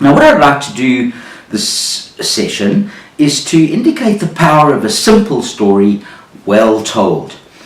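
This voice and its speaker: Noticeable background noise sits behind a man's fairly high voice. He speaks at a fairly slow pace with very wide pitch swings. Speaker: business storyteller. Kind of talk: business storytelling talk to camera.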